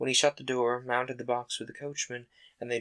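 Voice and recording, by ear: The text is read aloud in a natural voice.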